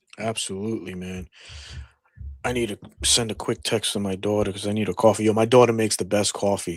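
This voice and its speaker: The man speaks with a New England accent and a fairly low pitch. His pace is very fast. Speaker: podcast co-host. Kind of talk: casual chat. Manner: animated.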